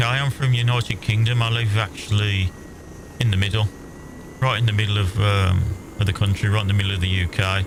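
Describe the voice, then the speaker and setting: With a Birmingham accent, the speaker keeps a very even loudness at a moderate pace, leaving long, frequent pauses over noticeable background noise. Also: man. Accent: Brummie. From English Midlands, Worcestershire. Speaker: gaming streamer. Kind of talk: casual chat while gaming. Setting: live stream.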